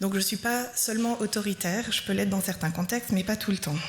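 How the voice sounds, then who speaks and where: A woman speaks at a medium pitch with fairly even intonation. Noticeable background noise runs behind her. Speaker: preacher. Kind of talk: sermon.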